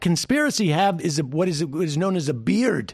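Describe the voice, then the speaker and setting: Over a quiet background, a man speaks at a moderate pace in a high pitch. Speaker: radio host. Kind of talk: live political talk show. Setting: studio.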